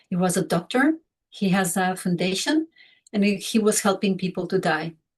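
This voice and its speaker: A woman speaks at a medium pitch and a moderate pace. Her intonation is lively and her voice somewhat breathy. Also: very even loudness. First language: Spanish or Catalan. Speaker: grief counselor. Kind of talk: talk to small online group. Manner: halting.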